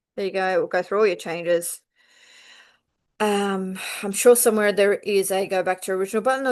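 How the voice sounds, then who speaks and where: A woman's medium-pitched voice with an Australian accent, a very fast pace, fairly even intonation and big swings in loudness over a quiet background. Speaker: quilting teacher. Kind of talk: tutorial. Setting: at home on couch with laptop. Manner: unscripted, rambling with fillers.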